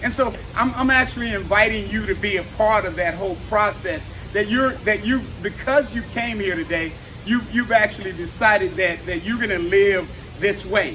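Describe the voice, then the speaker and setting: Over noticeable background noise, a man raises and projects his voice at a moderate pace. His tone is animated and high-pitched, with ordinary pitch variation. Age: 60s. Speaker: fitness trainer and active aging speaker. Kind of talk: motivational talk. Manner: halting.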